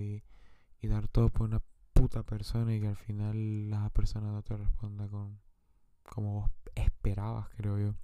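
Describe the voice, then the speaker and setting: A man's fairly low, dark, mellow voice, flat and monotone at a moderate pace. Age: 20s. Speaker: podcaster. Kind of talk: personal monologue.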